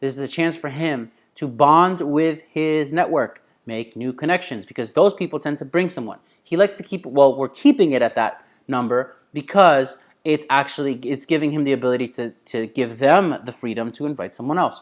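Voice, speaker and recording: A man's animated, fairly high-pitched voice at a fairly quick pace with ordinary pitch variation. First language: not English. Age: adult. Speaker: business coach. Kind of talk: online course lecture. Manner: casual, animated.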